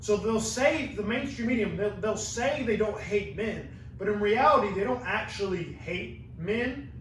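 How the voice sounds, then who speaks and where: A man speaks fairly slowly at a high pitch in an animated tone with ordinary pitch variation, with audible room echo and noticeable background noise. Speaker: podcast host and university student. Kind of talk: casual podcast conversation.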